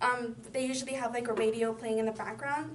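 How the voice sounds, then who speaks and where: Audible room echo and noticeable background noise surround a woman with a fairly high pitch. She speaks at a very fast pace with ordinary pitch variation. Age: 20s. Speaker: community college student. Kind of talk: personal introduction speech. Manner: halting, many fillers.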